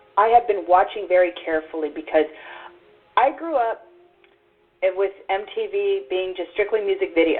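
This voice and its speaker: Her pitch swings very widely as a woman talks with an American accent. She keeps a moderate pace over music in the background. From Texas. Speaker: internet radio host. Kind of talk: podcast interview.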